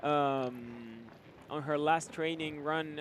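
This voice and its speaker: A man with a Spanish accent speaks at a very slow pace with fairly even intonation. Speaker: sports commentator. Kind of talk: live commentary. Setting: studio. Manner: halting, many fillers.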